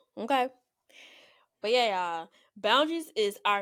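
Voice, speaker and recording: This woman has a Southern US accent. The recording is very clean, and the background is silent. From US South. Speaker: podcast co-host. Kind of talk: casual chat. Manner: fast talker.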